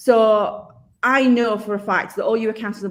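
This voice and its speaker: A woman speaks with a Yorkshire accent. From Yorkshire, northern England. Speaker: accountant and software company specialist, webinar host. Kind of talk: live-streamed webinar interview.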